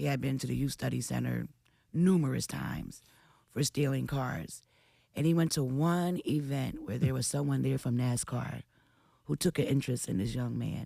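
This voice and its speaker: A woman speaks in a Philadelphia accent. Her pace is moderate. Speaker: radio host. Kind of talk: radio interview.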